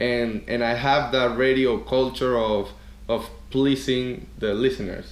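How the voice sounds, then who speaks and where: Amid audible room echo, a man with a Venezuelan accent speaks at a very slow pace and a medium pitch. His intonation is fairly even and his loudness very even. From Venezuela, Caracas. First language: Spanish. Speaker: DJ and former radio host. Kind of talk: interview. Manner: hesitant, repeats words.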